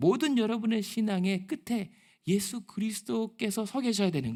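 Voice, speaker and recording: A man at a moderate pace. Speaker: pastor. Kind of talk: sermon.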